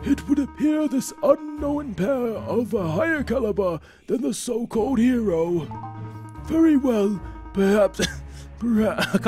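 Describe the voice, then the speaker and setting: A put-on character voice speaks at a fairly slow pace over clear background music. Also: man, extremely high pitch for a man. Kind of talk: formal, archaic. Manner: scheming, menacing.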